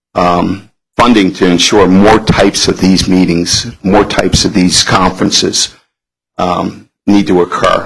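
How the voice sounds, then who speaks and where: Speaking at a moderate pace, a man delivers his words in a monotone, flat intonation with a very deep, low pitch. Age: 60s. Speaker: public commenter, senior advocate. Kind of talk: public comment at board meeting. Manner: halting, many fillers.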